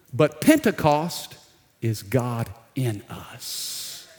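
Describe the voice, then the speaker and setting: Here is a man with an American accent. His pitch is medium, with ordinary variation. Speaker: pastor. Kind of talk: sermon. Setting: church.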